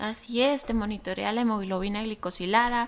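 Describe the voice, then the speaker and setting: Speaking at a moderate pace with ordinary pitch variation, a woman has an unremarkable speaking voice on a very clean recording with a silent background. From Mexico, Chihuahua. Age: 30s. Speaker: physician and entrepreneur. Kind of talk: casual interview.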